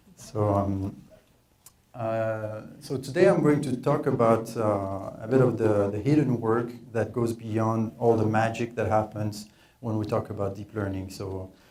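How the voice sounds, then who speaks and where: Speaking with a French accent, a man uses a dark, mellow tone at medium pitch, with fairly even intonation and a fairly slow pace. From France. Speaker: data scientist, workshop presenter. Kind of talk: technical presentation. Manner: hesitant, many filler words.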